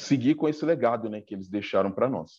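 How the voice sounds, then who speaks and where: A man speaks in a dark, mellow tone. The background stays quiet. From Brazil, Diadema (ABC region of São Paulo). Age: 40s. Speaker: samba web show host and interviewer. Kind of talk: casual interview.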